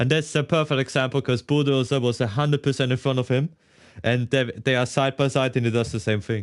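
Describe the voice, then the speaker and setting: With a German accent, a man speaks at a medium pitch against a quiet background. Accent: German-speaking accent in English. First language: German (Austrian dialect). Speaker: sim racing streamer. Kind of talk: live gameplay commentary. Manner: casual, switching between English and German.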